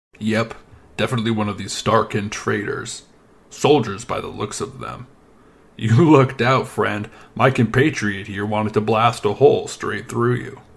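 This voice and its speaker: A put-on character voice from a man, rumbling at medium pitch and a moderate pace. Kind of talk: casual, matter-of-fact.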